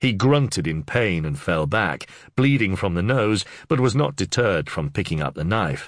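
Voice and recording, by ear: A text is read aloud here. The delivery uses a natural voice.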